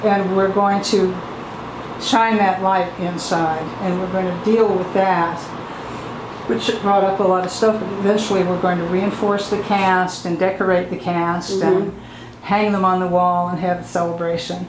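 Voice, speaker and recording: Noticeable background noise sits behind a woman speaking at a moderate pace with a medium pitch and monotone, flat intonation. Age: 80s+. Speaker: artist and activist. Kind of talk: oral history interview answer.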